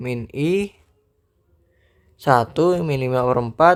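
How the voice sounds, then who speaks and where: A man is speaking. His pace is very slow. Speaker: math tutor. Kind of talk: tutorial. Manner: casual; loud.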